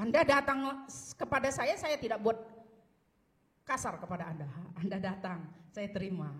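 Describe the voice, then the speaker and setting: A woman's somewhat breathy, medium-pitched voice at a fairly quick pace, with very wide pitch swings. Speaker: pastor. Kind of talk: sermon. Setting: church.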